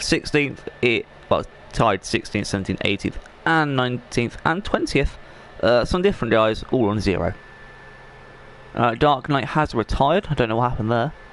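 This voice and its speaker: Over noticeable background noise, a man talks at a moderate pace with lively intonation, very even loudness and long, frequent pauses. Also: medium pitch for a man. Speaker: esports league commentator. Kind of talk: live game commentary stream. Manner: casual, rambling.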